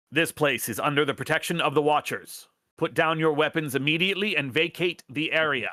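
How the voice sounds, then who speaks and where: Putting on a shrill, robotic character voice, a man talks at a fairly quick pace in a fairly high pitch. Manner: commanding announcement.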